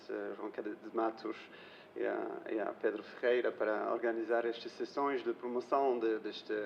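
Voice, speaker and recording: With a non-native accent, this speaker talks at a moderate pace. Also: man. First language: not Portuguese (speaking Portuguese). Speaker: European Commission official presenter. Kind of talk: presentation at public information session.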